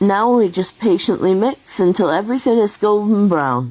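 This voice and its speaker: With a British accent, a woman speaks at a fairly slow pace. Her tone is dark and mellow, and her intonation is lively. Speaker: home cook content creator. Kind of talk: cooking tutorial. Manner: casual, chatty.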